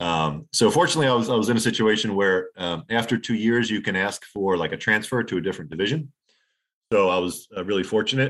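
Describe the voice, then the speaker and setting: On a very clean recording with a silent background, a man with a New Jersey accent talks at a very fast pace, his pitch fairly low with ordinary variation. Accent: New Jersey American. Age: 40s. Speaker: former lawyer, poker player. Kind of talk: casual interview. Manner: halting.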